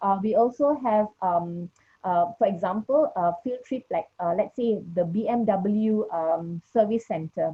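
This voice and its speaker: A woman's somewhat breathy, medium-pitched voice with ordinary pitch variation. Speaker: education ministry official. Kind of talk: panel discussion. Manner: hesitant, many fillers.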